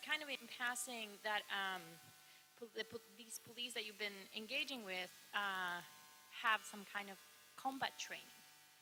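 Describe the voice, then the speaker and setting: Bright and sharp in tone, a woman with a non-native accent speaks at a fairly slow pace in a fairly high pitch. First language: not English. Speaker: audience member asking questions at academic colloquium. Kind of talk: Q&A question. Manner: halting, many fillers.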